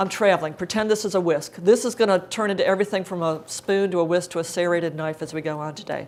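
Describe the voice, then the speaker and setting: Medium in pitch, a woman's voice moves with ordinary variation. She speaks at a very fast pace. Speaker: cookbook author giving a cooking demonstration. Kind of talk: live cooking demonstration talk. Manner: casual, chatty.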